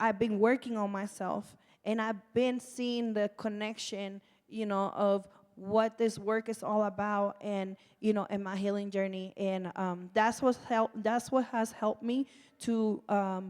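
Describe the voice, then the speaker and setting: Monotone, flat intonation carries the words along at a fairly slow pace. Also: woman, medium pitch for a woman. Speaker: nonprofit community organizer, formerly incarcerated. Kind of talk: panel discussion. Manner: loud.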